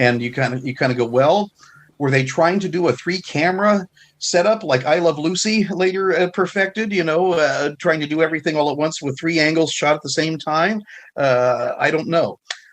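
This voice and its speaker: A man speaks at a moderate pace in a fairly high pitch, with ordinary pitch variation and a quiet background. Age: 60s. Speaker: film historian and author. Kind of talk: casual chat. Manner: halting, many fillers.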